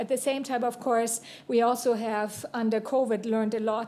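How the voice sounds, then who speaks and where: A woman speaks in a German accent with a fairly high voice. Her tone is dark and mellow, her intonation monotone and flat. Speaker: university dean. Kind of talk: panel remarks. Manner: formal.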